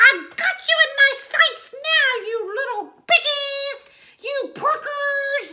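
A woman's cackling, put-on character voice at an extremely high pitch and a very slow pace. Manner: cackling, menacing.

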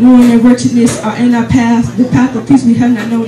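There is light background noise along with audible room echo. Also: woman. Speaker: spoken word poet. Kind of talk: spoken word poetry performance, rhythmic rhymed verse on faith. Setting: open mic night, live audience. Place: cafe.

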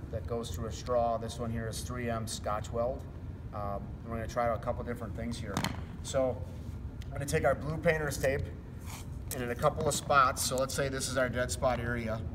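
Fairly quick male speech with ordinary pitch variation and noticeable background noise. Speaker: flooring contractor. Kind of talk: tutorial. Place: hall.

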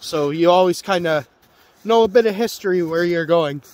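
Recorded dry with no echo, a man speaks at a moderate pace with ordinary pitch variation. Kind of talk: casual vlog chat. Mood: relaxed, content. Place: open country. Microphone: phone near.

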